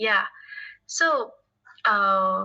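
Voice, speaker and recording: A woman with a Chinese accent speaks at a fairly high pitch. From China. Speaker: English learner. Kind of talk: casual chat. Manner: halting.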